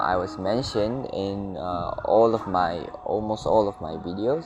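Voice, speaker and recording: A man's fairly low voice with a non-native accent, at a very slow pace, over noticeable background noise. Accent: non-native English accent, noted by self. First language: not English. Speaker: gaming YouTuber. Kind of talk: casual let's-play commentary. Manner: hesitant, many fillers.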